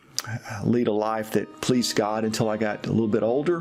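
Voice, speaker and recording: With music in the background, a man in a Tennessee accent speaks at a moderate pace with medium pitch and fairly even intonation. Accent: Southern US (Tennessee). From US South, East Tennessee. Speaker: pastor. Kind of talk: personal testimony.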